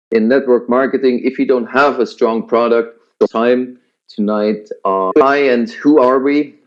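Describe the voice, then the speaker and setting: A man speaks with a Swiss German accent at a medium pitch. His pace is fairly slow and his intonation fairly even. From Switzerland. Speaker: business presenter. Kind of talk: sales pitch webinar. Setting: online webinar. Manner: hesitant, many fillers.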